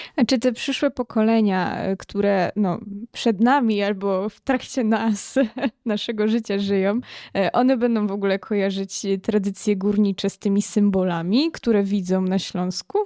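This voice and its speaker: A woman's medium-pitched voice in an Upper Silesian accent, dark and mellow in tone, at a moderate pace with fairly even intonation, on a very clean recording with a silent background that is dry and close with no echo. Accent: Upper Silesian, audible. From Upper Silesia, Poland. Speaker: podcast host. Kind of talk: interview.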